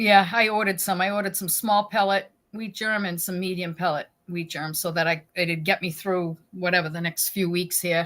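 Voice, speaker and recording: Speaking in a New England accent, a woman uses a medium pitch, a moderate pace and fairly even intonation. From New England, New Hampshire. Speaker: koi pond hobbyist host. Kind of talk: casual chat.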